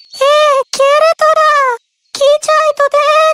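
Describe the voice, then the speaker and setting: This woman's cartoonish character voice is squeaky and extremely high-pitched, delivered in a monotone, flat intonation. The sound is dry and close, with no echo. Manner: shrill, scolding.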